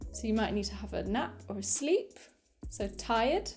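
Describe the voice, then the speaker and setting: A woman with a British accent over music in the background. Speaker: English teacher. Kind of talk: English lesson to camera, beginner vocabulary. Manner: clear, slow, repeating each word.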